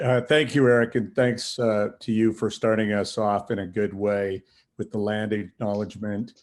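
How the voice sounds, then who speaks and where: With an unremarkable speaking voice, a man talks at a moderate pace, his pitch fairly low and his intonation fairly even. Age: 60s. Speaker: city councillor. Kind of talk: webinar talk.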